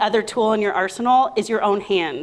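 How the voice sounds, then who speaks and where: Loud and fairly quick, a woman speaks with ordinary pitch variation. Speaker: quilt and fabric designer. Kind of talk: trade show presentation.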